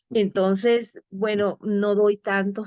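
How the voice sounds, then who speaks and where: A woman speaks at a medium pitch. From Venezuela. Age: 60s. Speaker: storyteller and life coach. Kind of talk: interview conversation. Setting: live broadcast program.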